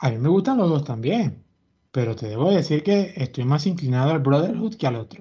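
A man talks at a fairly quick pace in a dark, mellow, somewhat breathy tone with lively intonation. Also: fairly high pitch for a man. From Venezuela. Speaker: podcast host. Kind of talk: casual chat.

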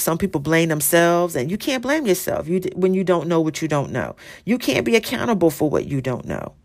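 On a very clean recording with a silent background, a woman with a fairly low pitch uses an ordinary speaking voice at a fairly quick pace. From Philadelphia, US. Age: 40s. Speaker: podcast host. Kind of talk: casual monologue.

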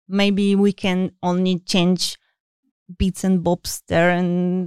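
The recording is very clean, dry and close with no echo and a silent background. The intonation is monotone and flat. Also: woman. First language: not English. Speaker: video game UI artist. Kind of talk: interview. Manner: hesitant, many fillers.

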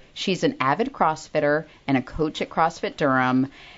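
Very deep, low pitch from a woman, varying in an ordinary way. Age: 40s. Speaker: podcast co-host. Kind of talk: casual chat. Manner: fast talker.

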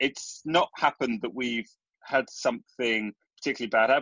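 A man with an English accent speaks at medium pitch with ordinary pitch variation. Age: 30s. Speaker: entrepreneur. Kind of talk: interview.

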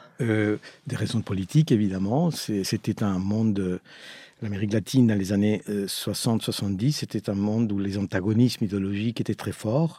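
This man has a dark, mellow tone, fairly low pitch and ordinary pitch variation, speaking at a moderate pace. The sound is dry and close with no echo, on a very clean recording with a silent background. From Chile and Argentina. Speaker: architect. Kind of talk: interview. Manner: halting.

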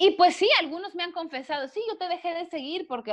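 A woman is speaking. Her pace is fairly quick. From Mexico, Villahermosa, Tabasco. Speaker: biologist and animal rights activist. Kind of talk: casual interview chat.

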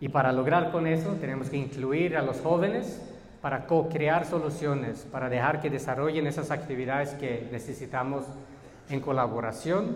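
Amid noticeable background noise and audible room echo, a man speaks with a fairly high pitch. He keeps a moderate pace and ordinary pitch variation. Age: 30s. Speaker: educator. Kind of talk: lecture. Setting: stage with audience.

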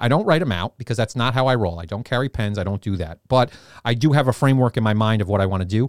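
A man with a New York accent talks at a very fast pace, using a medium pitch and ordinary pitch variation. The sound is dry and close with no echo, in a very clean recording with a silent background. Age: 40s. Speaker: co-host, fitness business founder. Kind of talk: casual chat. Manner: animated.

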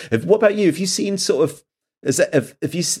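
Recorded very cleanly with a silent background, a man's voice shows vocal fry and very wide pitch swings. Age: 40s. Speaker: author and podcast host. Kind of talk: casual chat.

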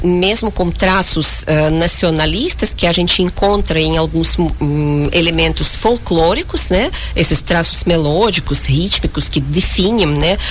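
Over noticeable background noise and audible room echo, a woman with a Russian accent speaks at a fairly slow pace. Her loudness stays very even, with hardly any pauses. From Uzbekistan, near Tashkent. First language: Russian (speaking Portuguese). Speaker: concert pianist. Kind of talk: radio interview. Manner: halting, with fillers.

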